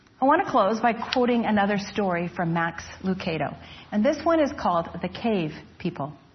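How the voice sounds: The intonation rises and falls in a lively way. The reading voice is natural.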